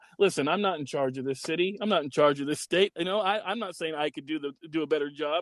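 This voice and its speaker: Recorded with a dry, close sound and no echo, a man talks at a fairly quick pace and a fairly high pitch with ordinary pitch variation. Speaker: podcast co-host. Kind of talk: casual chat. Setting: recording remotely from a car in a park parking lot. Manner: loud, ranting.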